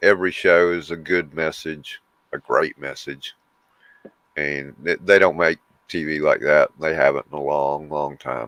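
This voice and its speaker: A man with a Southern US accent speaks fairly slowly in a very deep, low voice with fairly even intonation, the sound dry and close with no echo. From US South. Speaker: livestream co-host. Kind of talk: casual chat.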